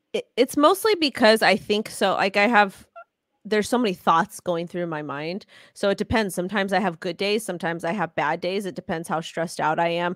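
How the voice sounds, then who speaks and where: On a very clean recording with a silent background and a dry, close sound with no echo, a woman with an American accent speaks at a fairly quick pace in a medium-pitched voice with ordinary pitch variation. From Los Angeles, California. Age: 30s. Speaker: crypto influencer. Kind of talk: casual interview. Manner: halting.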